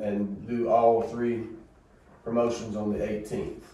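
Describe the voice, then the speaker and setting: A man with a Southern US accent speaks at a fairly slow pace in a fairly low voice, with audible room echo. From US South. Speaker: school superintendent. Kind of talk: board meeting report and recognitions. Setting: school board meeting room. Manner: casual and folksy. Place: meeting room. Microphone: camera far.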